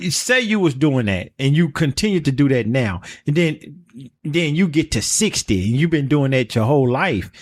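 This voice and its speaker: In an animated tone, a man speaks at a fairly high pitch with very wide pitch swings and very even loudness. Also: moderate pace. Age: 60s. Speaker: podcast host. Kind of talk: casual chat.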